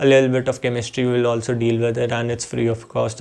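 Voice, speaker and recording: With an Indian accent, a man speaks at a medium pitch and with fairly even intonation. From Jammu, India. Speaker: YouTuber. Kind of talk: casual vlog monologue. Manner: halting, repetitive.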